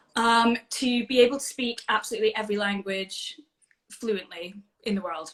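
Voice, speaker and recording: Speaking with a Scottish accent, a woman keeps a moderate pace. Her pitch is fairly high, with ordinary pitch variation. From Scotland. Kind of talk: casual chat. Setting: video call.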